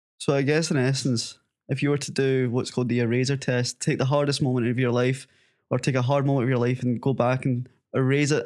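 Speaking at a fairly quick pace in a Scottish accent, a man with a medium pitch keeps a monotone, flat intonation. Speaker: podcast host. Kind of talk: casual interview.

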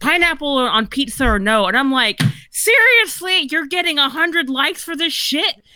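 Raising and projecting her voice, a woman speaks at a high pitch with very wide pitch swings and a moderate pace, over noticeable background noise. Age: 40s. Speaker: author. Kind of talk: casual chat.

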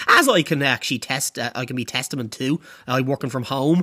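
An Irish accent at a very fast pace. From Ireland. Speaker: podcast host. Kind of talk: casual monologue.

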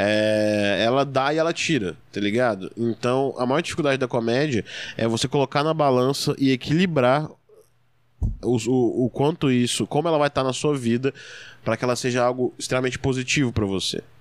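In a very clean recording with a silent background, a man at medium pitch uses a normal speaking voice with ordinary pitch variation and very even loudness. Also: moderate pace. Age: 20s. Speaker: stand-up comedian. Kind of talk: casual interview chat.

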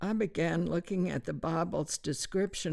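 Using vocal fry, a woman with an American accent speaks at a very deep, low pitch with ordinary pitch variation. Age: 80s+. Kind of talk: interview, reading aloud scripture and article. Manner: hesitant, halting with fillers.

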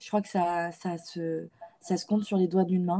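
At a moderate pace, a woman speaks in a monotone, flat intonation, her medium-pitched voice dark, mellow, and somewhat breathy. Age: 20s. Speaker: feminist content creator and student. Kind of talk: interview. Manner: halting.

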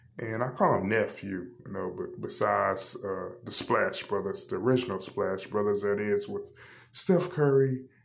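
The speaker is a man going at a fairly slow pace. Room echo is audible. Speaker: sports podcast host. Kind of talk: solo podcast monologue. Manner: hesitant with frequent fillers.

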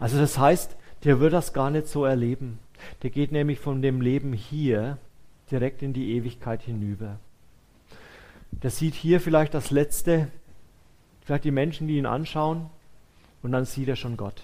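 A man's fairly high voice with a dark, mellow, warm tone, ordinary pitch variation and long, frequent pauses. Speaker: preacher. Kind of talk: sermon. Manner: warm, conversational and earnest, with a comforting tone; pastoral, unhurried, addressing listeners directly as "du".

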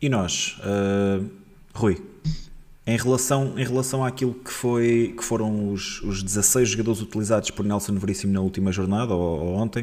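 A man with a normal speaking voice, fairly even intonation and a moderate pace. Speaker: football podcast host. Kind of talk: casual chat.

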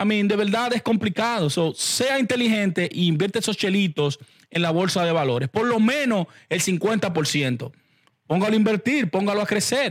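Speaking with lively intonation, the man keeps a moderate pace in a high voice. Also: very even loudness, very clean recording, silent background. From Dominican Republic, Santo Domingo. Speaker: podcast host discussing investing. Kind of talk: casual monologue.

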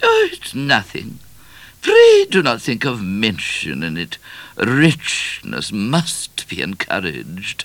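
A man performs a put-on character voice at a slow pace. It sits fairly low, has a fairly bright tone and very wide pitch swings.

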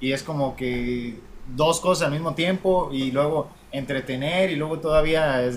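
A man speaks at a fairly slow pace with fairly even intonation and a fairly high pitch. He has an unremarkable speaking voice. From Mexico, Apatzingán, Michoacán. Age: young. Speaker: podcast co-host. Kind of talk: casual chat.

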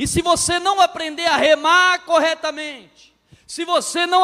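A man speaks in a raised, projected voice with a bright, sharp tone, his pitch extremely high and his intonation fairly even, at a fairly slow pace. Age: 30s. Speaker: pastor and marriage counselor. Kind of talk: sermon. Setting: church.

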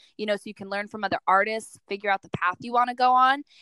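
A woman's normal speaking voice, fairly high in pitch, with fairly even intonation and a dry, close sound with no echo. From New York City. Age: 20s. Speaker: makeup artist. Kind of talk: interview.

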